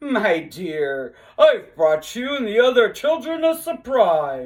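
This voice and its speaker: Putting on a character voice, a woman speaks at a fairly slow pace and fairly high pitch with very wide pitch swings. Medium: read story. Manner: theatrical, warm.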